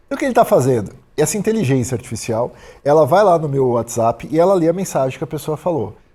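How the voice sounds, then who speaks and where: Very fast and somewhat breathy, a man speaks at a fairly high pitch with very wide pitch swings. His tone is dark and mellow, on a very clean recording with a silent background. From Brazil, Santos (São Paulo state). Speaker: productivity author and entrepreneur. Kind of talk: casual podcast interview. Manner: direct, objective.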